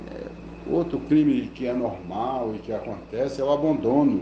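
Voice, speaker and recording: Speaking at a fairly slow pace, a man's voice comes with audible room echo. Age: 70s. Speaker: lawyer. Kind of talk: informational talk. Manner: halting, many fillers.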